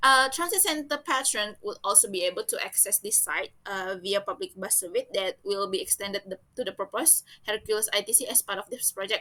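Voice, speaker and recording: A woman with an Indonesian accent talks at a fairly quick pace with hardly any pauses. Her tone is bright and sharp, and her intonation is lively. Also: fairly high pitch for a woman. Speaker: student. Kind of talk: class presentation. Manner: halting.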